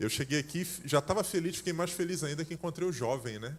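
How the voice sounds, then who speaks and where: The speaker is a man. He talks in a Carioca accent. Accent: carioca (Rio de Janeiro) accent, noticeable. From Rio de Janeiro, Brazil. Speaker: pastor. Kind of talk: sermon. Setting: church service.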